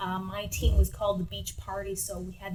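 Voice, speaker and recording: A woman talks at a moderate pace. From Sudbury, Ontario, Canada. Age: 30s. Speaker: singer-songwriter. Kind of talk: interview.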